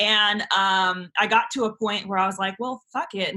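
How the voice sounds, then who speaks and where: Loud and animated, a woman speaks at a medium pitch. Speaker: author and YouTuber. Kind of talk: podcast interview.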